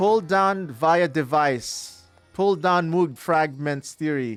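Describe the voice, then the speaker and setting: Music plays in the background as a man with a Filipino accent speaks in a fairly high pitch with lively intonation. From Philippines. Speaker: gaming streamer. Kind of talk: live gameplay commentary. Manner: casual, reacting to chat.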